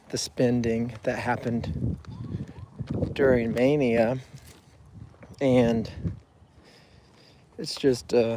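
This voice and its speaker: With noticeable background noise, a man at a medium pitch speaks very slowly in a flat monotone. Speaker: mental health vlogger. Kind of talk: personal video journal on a walk. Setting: outdoors on a walk. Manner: halting, hesitant.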